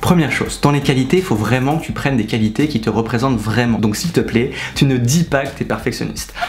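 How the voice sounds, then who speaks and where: A man talks at a very fast pace with ordinary pitch variation. Background noise is noticeable. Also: medium pitch for a man. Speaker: student advice youtuber. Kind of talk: tutorial. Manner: animated.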